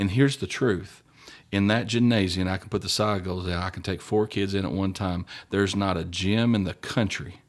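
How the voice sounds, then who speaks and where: With an American accent, a man speaks in a very deep, low voice at a moderate pace and with fairly even intonation, in a very clean recording with a silent background. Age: 40s. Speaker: high school basketball coach. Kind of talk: casual interview.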